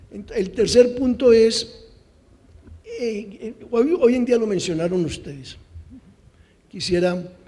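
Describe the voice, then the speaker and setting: With audible room echo, a man speaks in a dark, mellow tone with ordinary pitch variation. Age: 60s. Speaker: conference speaker on policy evaluation. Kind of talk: conference talk.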